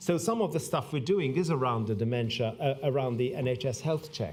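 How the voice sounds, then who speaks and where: Audible room echo surrounds a man with a medium pitch. He talks at a moderate pace with lively intonation. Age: 60s. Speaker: public health doctor. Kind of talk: conference speech. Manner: halting, many fillers.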